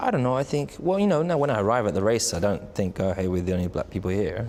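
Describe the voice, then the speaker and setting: Talking very fast, a man with a fairly low pitch uses lively intonation at very even loudness. Noticeable background noise is present. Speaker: racing driver. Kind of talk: interview answer. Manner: soft-spoken, calm.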